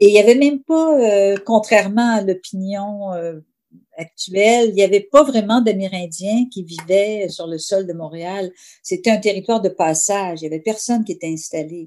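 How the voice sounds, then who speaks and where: A very clean recording with a silent background carries a dark, mellow tone moving at a moderate pace. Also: woman, medium pitch for a woman, ordinary pitch variation. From Quebec City. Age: 50s. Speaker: novelist. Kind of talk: interview.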